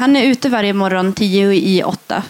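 Over noticeable background noise, a woman talks in a medium pitch. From northern Sweden, Tornedalen. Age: 20s. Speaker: young cultural activist and poet. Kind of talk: interview. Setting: festival stage with live audience.

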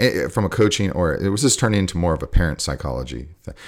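A very fast male voice with vocal fry and very wide pitch swings. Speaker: jiu-jitsu coach. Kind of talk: casual chat.

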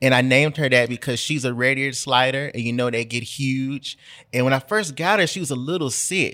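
On a very clean recording with a silent background, a man with a Memphis accent speaks in a bright, sharp tone. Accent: Southern US (Memphis). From Memphis, Tennessee. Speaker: journalist and writer. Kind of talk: casual chat.

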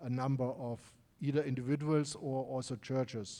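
Captured in a very clean recording with a silent background, a man with a fairly high pitch speaks in a dark, mellow tone with fairly even intonation. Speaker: missions team member. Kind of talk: church announcement. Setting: church. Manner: hesitant, filler-heavy.

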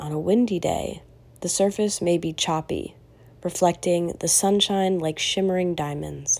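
On a very clean recording with a silent background, a woman with an unremarkable speaking voice talks at a fairly slow pace and fairly low pitch, with fairly even intonation. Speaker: meditation guide. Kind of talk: guided meditation, gentle instructions with long pauses. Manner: slow, calm and soothing, with unhurried pacing; soft-spoken, hushed and gentle.

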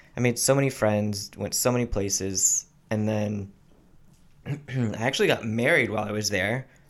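A man with an American accent speaks at a moderate pace and fairly low pitch with fairly even intonation, in a plain, everyday voice. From military family, high school in Texas. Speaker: Air Force member. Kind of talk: casual chat.

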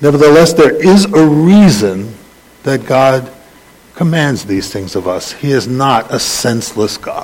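In an American accent, the speaker goes at a fairly slow pace with very wide pitch swings, while room echo is audible and background noise is noticeable. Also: man, fairly high pitch for a man. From US Northeast (the Bronx, New York City). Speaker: rabbi. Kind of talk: sermon. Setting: congregation with slides. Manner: halting.

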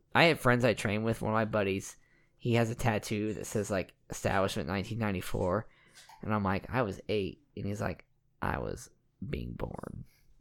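A man's fairly low voice with vocal fry, ordinary pitch variation and a moderate pace. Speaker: podcast host and personal trainer. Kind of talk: casual chat.

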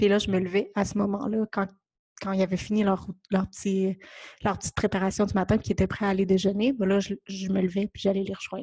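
In a Quebec accent, a woman speaks very fast at a medium pitch, her intonation monotone and flat, her tone dark, mellow and somewhat breathy. The sound is dry and close with no echo, and the background is quiet. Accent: Québécois French. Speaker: podcast host. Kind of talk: casual monologue. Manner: gentle, hesitant with fillers.

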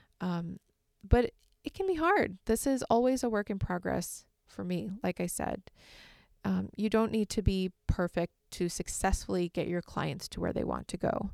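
At a moderate pace, a woman with an American accent speaks in a very clean recording with a silent background and a dry, close sound with no echo. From Michigan, US Midwest. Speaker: therapist and podcast host. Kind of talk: solo podcast talk with tips.

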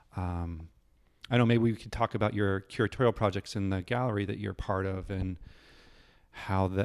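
An ordinary speaking voice from a man, fairly low in pitch, with fairly even intonation at a moderate pace. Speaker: oral history podcast host. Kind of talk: casual interview. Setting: artist's studio.

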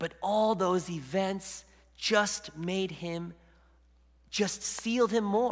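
Pausing long and often, a man talks at a very slow pace with a high pitch and fairly even intonation over noticeable background noise. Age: 40s. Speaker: lay preacher. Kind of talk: sermon. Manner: halting.

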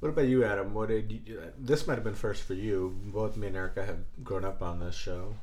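The man's fairly low voice is somewhat breathy, with ordinary pitch variation. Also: fairly quick pace. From born in Belgium. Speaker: podcast host. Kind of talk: casual chat. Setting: indoors, home recording.

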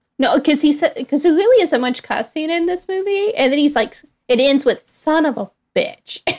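A woman speaks at a moderate pace. Her pitch is high and her intonation lively. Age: 20s. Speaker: host's sister, movie fan. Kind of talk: casual chat.

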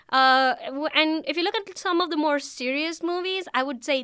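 A raised, projected voice with a bright, sharp tone at a moderate pace. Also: woman. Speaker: graduate student. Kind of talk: casual chat. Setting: studio.

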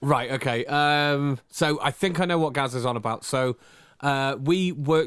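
Heard in a very clean recording with a silent background, a man has an ordinary speaking voice at medium pitch, with ordinary pitch variation and a moderate pace. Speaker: podcast host. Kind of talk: casual chat between spouses.

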